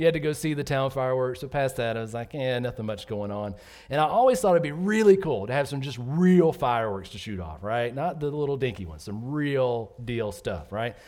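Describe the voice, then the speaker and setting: Talking at a fairly quick pace with hardly any pauses, a man with an American accent uses a plain, everyday voice of medium pitch, with lively intonation and big swings in loudness. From US South, Georgia. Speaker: pastor. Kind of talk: sermon. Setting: church.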